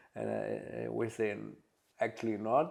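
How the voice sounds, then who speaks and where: With a German accent, a man talks at a moderate pace in a medium pitch. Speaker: butler and household manager. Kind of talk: interview. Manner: halting, many fillers.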